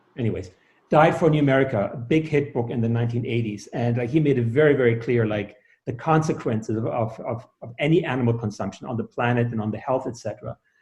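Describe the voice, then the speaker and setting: Somewhat breathy speech races along at a very fast pace with ordinary pitch variation. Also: man, medium pitch for a man. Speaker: sound healer and author. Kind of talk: interview. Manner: halting, many fillers.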